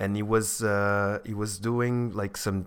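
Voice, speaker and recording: In an unremarkable speaking voice, a man talks at a fairly low pitch and fairly slow pace on a very clean recording with a silent background. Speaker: professional poker player. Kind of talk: casual chat.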